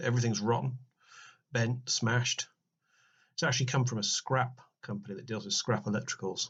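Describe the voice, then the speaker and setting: A man with a British accent at a medium pitch, a fairly quick pace and ordinary pitch variation, broken by long, frequent pauses. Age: 40s. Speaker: RC car restorer. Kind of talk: casual voice-over narration.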